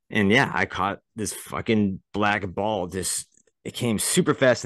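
A man with an American accent speaks at a fairly slow pace, his pitch fairly low and his intonation fairly even. He has an unremarkable speaking voice, and the background is quiet. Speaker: podcast co-host. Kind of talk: casual chat.

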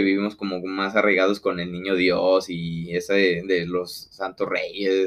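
With a Mexican accent, a man speaks in a very deep, low voice at a fairly slow pace, with monotone, flat intonation and hardly any pauses. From rural Mexico. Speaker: podcast co-host. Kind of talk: casual chat.

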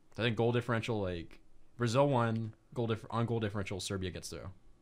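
In a very clean recording with a silent background, a man with a Florida accent speaks very fast. His voice is fairly low, with ordinary pitch variation. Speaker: podcast co-host. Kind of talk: casual chat.

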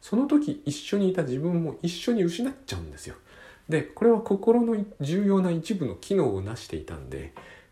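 A man speaks at a moderate pace. His volume rises and falls sharply. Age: 40s. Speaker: podcast host and author. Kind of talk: solo monologue podcast. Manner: halting, many fillers.

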